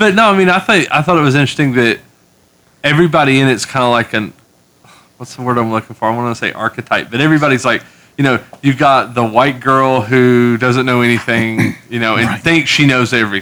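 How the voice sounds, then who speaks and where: This man speaks at a medium pitch with a bright, sharp tone. He goes very fast, with ordinary pitch variation. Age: 30s. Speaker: comic book podcast co-host. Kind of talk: casual chat.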